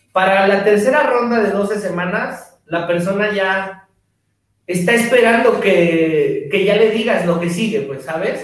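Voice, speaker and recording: At a fairly slow pace, a man with a high pitch and ordinary pitch variation speaks amid audible room echo. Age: 40s. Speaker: fitness trainer and podcast host. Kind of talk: casual chat.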